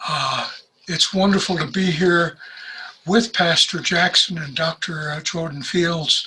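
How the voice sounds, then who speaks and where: A man speaks in a high voice. His intonation stays fairly even. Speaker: retired professor. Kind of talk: sermon. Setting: video call. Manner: halting.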